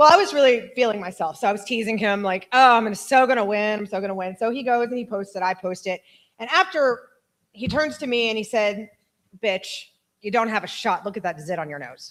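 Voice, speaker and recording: Here a woman with an unremarkable speaking voice talks at a fairly quick pace, her fairly high pitch carried by lively intonation. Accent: American. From Austin, Texas. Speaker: friend giving eulogy. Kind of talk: memorial speech.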